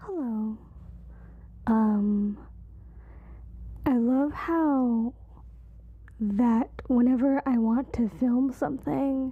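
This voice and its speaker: A soft-spoken whisper at a very slow pace. Long pauses come often. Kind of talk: casual talk to camera, stress-relief ASMR talk. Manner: soft-spoken, whispering.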